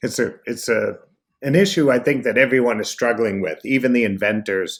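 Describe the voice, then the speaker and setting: An American accent marks this man's speech, delivered at a moderate pace with a medium pitch and ordinary pitch variation. The recording is very clean, with a silent background. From Boston. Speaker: speaker and trainer. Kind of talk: interview.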